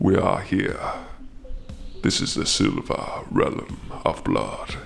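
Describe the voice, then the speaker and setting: A man speaks very slowly in a put-on character voice, with clear background noise behind him. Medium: audio drama. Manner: formal, solemn.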